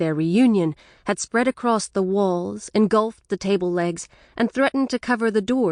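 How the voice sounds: The voice reads naturally. Its delivery stays that way all through.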